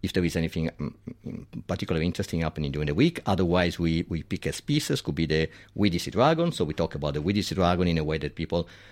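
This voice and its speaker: A man speaks very fast in an Italian accent, his very deep, low voice fairly even in intonation. The recording is very clean with a silent background. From Italy. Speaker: diving community organizer. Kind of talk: radio interview.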